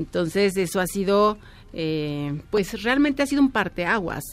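A woman talks fairly slowly in a normal speaking voice, her pitch medium. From Mexico. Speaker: fashion designer. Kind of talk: interview.

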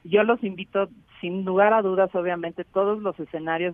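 A woman's plain, everyday voice at a medium pitch, fairly quick in pace, with fairly even intonation. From Mexico City. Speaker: head of a public park trust. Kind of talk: radio interview.

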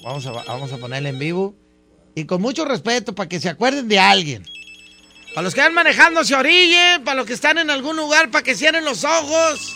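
A man projects his voice loudly, talking at a fairly quick pace with very wide pitch swings. Noticeable background noise sits behind him. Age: 40s. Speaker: radio DJ. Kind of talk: radio show hosting. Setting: studio. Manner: animated.

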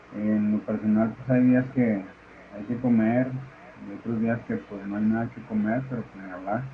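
Fairly slow and fairly even in intonation, a man's unremarkable speaking voice sits at medium pitch, with big swings in loudness. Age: 50s. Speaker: unemployed security guard. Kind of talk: voice message.

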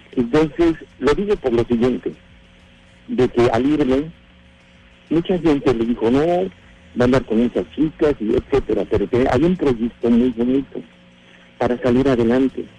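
A medium-pitched male voice at a moderate pace, with long, frequent pauses, very even loudness, ordinary pitch variation and noticeable background noise. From Mexico City. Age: 60s. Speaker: radio show caller. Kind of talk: personal story on a radio call-in. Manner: halting, repeats words.

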